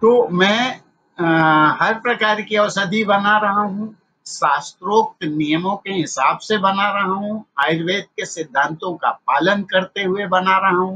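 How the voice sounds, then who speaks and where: Bright and sharp in tone, this man's voice is raised and projected. His pitch is high. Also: ordinary pitch variation. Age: 60s. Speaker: naturopath and Ayurvedic medicine maker. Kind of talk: interview.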